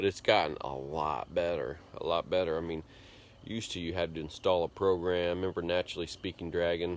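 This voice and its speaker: Against a silent background in a very clean recording, a man mumbles at a very deep, low pitch with fairly even intonation. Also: fairly quick pace. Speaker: vlogger, computer programmer. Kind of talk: casual vlog monologue. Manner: mumbling.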